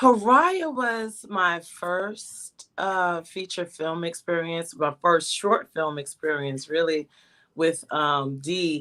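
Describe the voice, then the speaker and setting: Speaking at a very slow pace, a woman with a fairly low pitch and a bright, sharp tone shows ordinary pitch variation. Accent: New York. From Bronx, New York City. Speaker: actress. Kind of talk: interview answer. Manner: casual, humorous.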